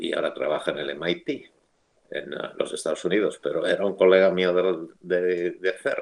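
A man with a Castilian accent talks at a moderate pace. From Spain, Madrid. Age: 70s. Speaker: theoretical physicist. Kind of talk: interview.

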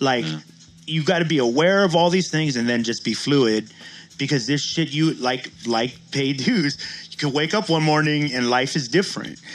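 Speaking at a moderate pace, a man has an unremarkable speaking voice with ordinary pitch variation. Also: fairly high pitch for a man. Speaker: co-host. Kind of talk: casual podcast banter.

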